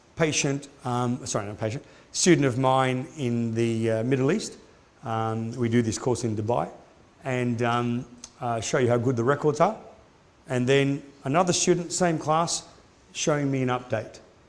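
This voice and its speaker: A man speaks at a moderate pace with ordinary pitch variation, leaving long, frequent pauses as audible room echo surrounds him. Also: medium pitch for a man. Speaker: orthodontics lecturer. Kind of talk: lecture.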